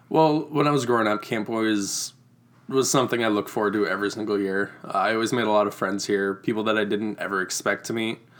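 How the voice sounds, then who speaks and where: Very fast and with a Midwestern American accent, a man speaks at a fairly low pitch with ordinary pitch variation. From Iowa, US Midwest. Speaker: camp site manager. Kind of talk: casual interview chat.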